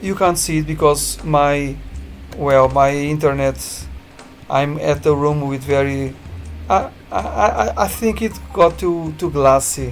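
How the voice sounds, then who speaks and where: A man talks at a fairly slow pace with long, frequent pauses while music plays in the background. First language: Portuguese. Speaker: game developer. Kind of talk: tutorial. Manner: halting.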